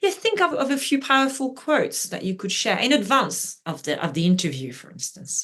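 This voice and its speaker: A woman with a French accent talks at a fairly quick pace. Her pitch swings very widely. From France (Brittany). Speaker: journalist and media trainer. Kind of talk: interview. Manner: animated.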